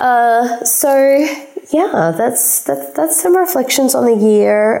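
In an Australian accent, a woman talks at a fairly slow pace with very wide pitch swings as audible room echo surrounds her. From South Australia. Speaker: money and empowerment coach. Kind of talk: solo podcast monologue. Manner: casual, with frequent fillers.

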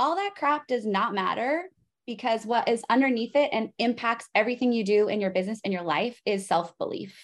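A plain, everyday voice with an American accent moves at a fairly quick pace with lively intonation over a quiet background. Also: woman, fairly high pitch for a woman. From Arizona, US. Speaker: business coach. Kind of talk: casual interview.

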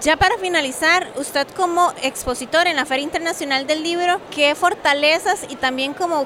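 A woman talks at a moderate pace, her pitch shifting in an ordinary way, while noticeable background noise fills the recording. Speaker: podcast host. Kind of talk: casual chat and interviews. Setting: book fair venue.

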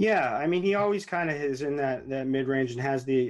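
A man's plain, everyday voice, medium in pitch, at a fairly quick pace with ordinary pitch variation. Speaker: fantasy sports analyst. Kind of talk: casual chat.

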